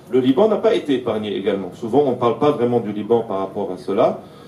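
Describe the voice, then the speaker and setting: Over noticeable background noise and audible room echo, a man of medium pitch talks at a fairly quick pace. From Syria, Aleppo (Armenian community). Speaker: political activist speaker. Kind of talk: lecture. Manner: halting, many hesitations.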